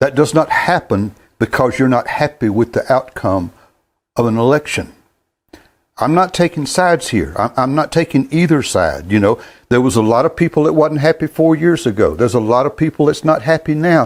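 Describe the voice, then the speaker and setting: At a moderate pace and very even loudness, a man with a Southern US accent and a fairly high pitch speaks with lively intonation in a very clean recording with a silent background. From US South, North Carolina. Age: 70s. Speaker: gospel sing-along host. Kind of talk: casual monologue. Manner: halting.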